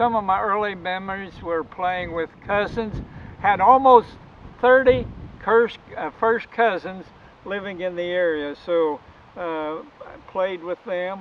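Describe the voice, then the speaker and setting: At a very slow pace, a man talks in a high pitch with ordinary pitch variation and big swings in loudness. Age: 80s+. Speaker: retired Baptist preacher. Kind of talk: personal storytelling.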